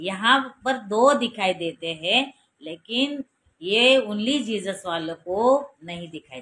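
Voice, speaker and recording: Speaking with a Marathi accent, a woman uses a bright, sharp tone at a fairly high pitch. Her pitch swings very widely, and her loudness rises and falls in big swings. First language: Marathi (speaking Hindi). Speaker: preacher. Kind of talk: sermon.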